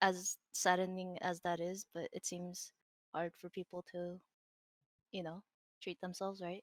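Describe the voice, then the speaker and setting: Soft-spoken and mumbling, a woman speaks in a monotone, flat intonation with long, frequent pauses, the sound dry and close with no echo. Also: fairly slow pace. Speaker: digital artist and streamer. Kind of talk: casual interview chat.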